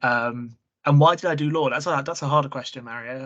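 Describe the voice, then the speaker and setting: A man talks with an English accent at a medium pitch. The background is quiet. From England, born in Prague. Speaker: trainee solicitor. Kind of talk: interview.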